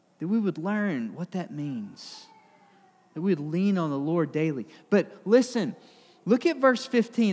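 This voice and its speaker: Speaking fairly slowly in a Southern US accent, a man uses a high pitch with very wide swings, captured in a very clean recording with a silent background. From Alabama, US South. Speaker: pastor. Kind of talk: sermon.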